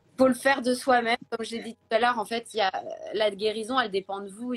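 Speaking at a fairly quick pace, a woman with a fairly high pitch and ordinary pitch variation sounds dry and close, with no echo. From Paris, France. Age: 30s. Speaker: influencer and blogger. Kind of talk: interview, personal testimony. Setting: Instagram live video.

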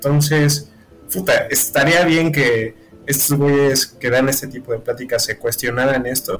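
With a Mexican accent, a man speaks at a fairly slow pace on fairly even intonation. Noticeable background noise can be heard. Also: fairly high pitch for a man. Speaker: university student. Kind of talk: casual chat.

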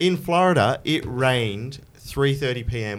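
A medium-pitched man's voice with an Australian accent and very wide pitch swings. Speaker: podcast host. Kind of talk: casual chat.

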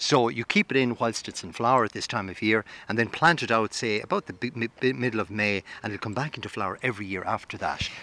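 A man with an Irish accent talks at a very fast pace with hardly any pauses, his medium-pitched voice bright and sharp, his pitch varying in an ordinary way, the sound dry and close with no echo. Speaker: gardening expert. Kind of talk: radio interview. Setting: outdoors in a garden.

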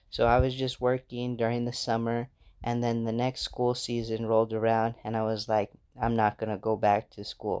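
A man of medium pitch speaks in a monotone, flat intonation. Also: moderate pace. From United States. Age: 20s. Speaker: podcaster. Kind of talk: solo personal storytelling monologue. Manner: casual, conversational.

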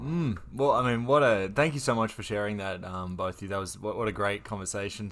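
A man with an Australian accent talks at a fairly quick pace. His pitch is fairly low, with ordinary variation. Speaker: podcast host. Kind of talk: casual interview hosting.

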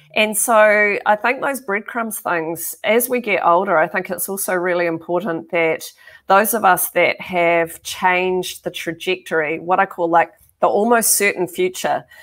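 Speaking with a New Zealand accent, a woman keeps a moderate pace. Her voice sits at medium pitch with ordinary pitch variation. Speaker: tech executive. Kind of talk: casual chat.

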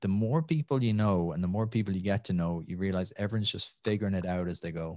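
This man has a Tipperary accent and a fairly low pitch with ordinary pitch variation. He talks at a very fast pace on a very clean recording with a silent background. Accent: Irish (Tipperary). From Ireland, Tipperary (near Nenagh). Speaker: entrepreneur and podcaster. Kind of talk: casual interview.

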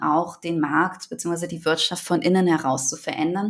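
This woman has a normal speaking voice, fairly low in pitch with ordinary pitch variation, talking at a moderate pace on a very clean recording with a silent background. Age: 20s. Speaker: environmental NGO program manager and startup co-founder. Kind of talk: interview.

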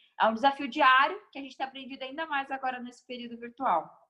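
A woman's raised, projected voice, high in pitch, bright and sharp in tone, at a very fast pace with ordinary pitch variation. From Guarulhos, São Paulo, Brazil. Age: 20s. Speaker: NGO founder and speaker. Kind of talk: casual interview.

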